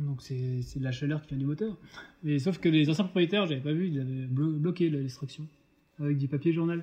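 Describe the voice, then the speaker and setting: This man has a fairly high pitch and a somewhat breathy voice. He talks at a fairly quick pace with ordinary pitch variation. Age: 30s. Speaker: food truck co-owner, art director. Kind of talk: casual interview.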